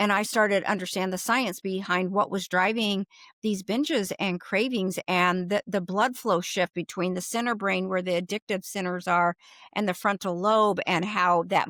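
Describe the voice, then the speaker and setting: In a plain, everyday voice, a woman speaks at a moderate pace and medium pitch with fairly even intonation. The recording is very clean with a silent background and a dry, close sound with no echo. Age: 60s. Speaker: food addiction recovery coach. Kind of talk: interview, personal story.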